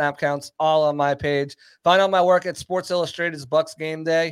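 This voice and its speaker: The recording of this man is very clean, with a silent background and a dry, close sound with no echo, and he speaks at a moderate pace. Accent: American. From northern US. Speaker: podcast host. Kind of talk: casual chat. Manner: animated, joking.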